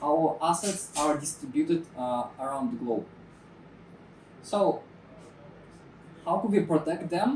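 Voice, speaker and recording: A non-native accent at a fairly slow pace, broken by long, frequent pauses, amid noticeable background noise. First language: not English. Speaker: security talk presenter. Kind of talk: technical talk. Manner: halting, many fillers.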